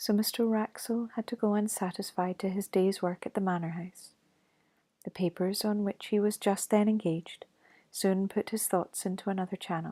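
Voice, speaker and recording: In a Scottish accent, the speaker is soft-spoken and keeps a moderate pace. The recording is very clean with a silent background. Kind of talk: ASMR ghost story reading.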